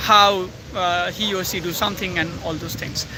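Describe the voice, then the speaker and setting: A raised, projected voice comes at a moderate pace through audible room echo and noticeable background noise. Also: man. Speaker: YouTuber. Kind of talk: personal reflection vlog. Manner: halting, many fillers and self-corrections.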